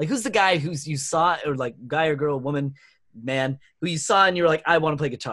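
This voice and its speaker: A man with a fairly high pitch speaks in a plain, everyday voice. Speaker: guest co-host, comedy club member. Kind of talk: casual chat.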